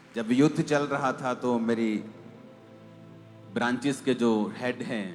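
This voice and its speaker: Music plays behind a man speaking. His pitch is medium and his intonation fairly even. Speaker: pastor, church preacher. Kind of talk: church sermon.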